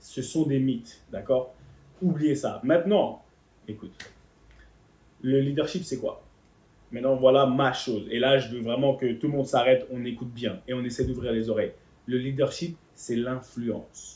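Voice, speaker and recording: Somewhat breathy, a man talks at a fairly slow pace with long, frequent pauses. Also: medium pitch for a man, ordinary pitch variation. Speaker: motivational speaker on leadership. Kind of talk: motivational talk. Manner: animated.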